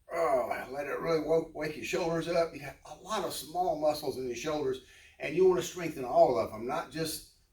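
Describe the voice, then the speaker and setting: Amid noticeable background noise, a man speaks with ordinary pitch variation and big swings in loudness. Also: fairly high pitch for a man, moderate pace. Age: 70s. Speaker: fitness instructor. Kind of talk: tutorial. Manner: casual.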